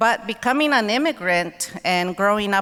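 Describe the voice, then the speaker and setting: A woman with a Spanish accent talks at a fairly slow pace, her tone bright and sharp and her intonation lively. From Mexico (Guerrero), then Los Angeles from childhood. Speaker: author and keynote speaker. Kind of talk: keynote speech. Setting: convention center stage with audience.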